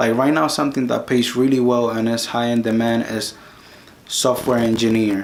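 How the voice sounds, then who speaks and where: Speaking at a moderate pace with medium pitch and fairly even intonation, a man with a Spanish accent is heard over noticeable background noise. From Dominican Republic. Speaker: YouTube career advice creator. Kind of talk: tutorial. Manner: casual, with frequent self-repetitions.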